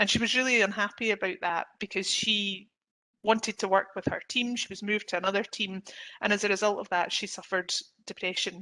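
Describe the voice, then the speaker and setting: A woman talks at a fairly quick pace in a bright, sharp tone at medium pitch, her intonation monotone and flat. The background is quiet. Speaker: employment lawyer. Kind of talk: webinar presentation. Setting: online webinar. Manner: fast.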